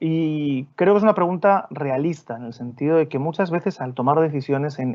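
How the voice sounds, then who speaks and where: A man with a Spanish accent speaks at a moderate pace and fairly high pitch, with ordinary pitch variation. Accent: Spanish (Spain). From Spain. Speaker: development bank official. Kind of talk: Q&A answer in a webinar. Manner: halting, repeats words.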